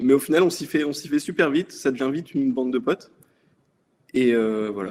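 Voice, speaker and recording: A man speaks in a fairly high pitch. His intonation shows ordinary pitch variation. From France, Brittany (Brest). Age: 20s. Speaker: navy submarine sonar operator. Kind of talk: interview. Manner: casual, hesitant with fillers.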